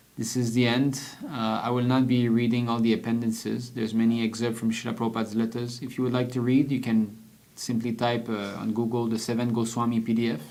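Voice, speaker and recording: A man talks very fast at a medium pitch, his intonation monotone and flat. Audible room echo surrounds the voice. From French-speaking region. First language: French. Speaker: devotional book reader. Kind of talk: reading aloud with commentary. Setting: livestream.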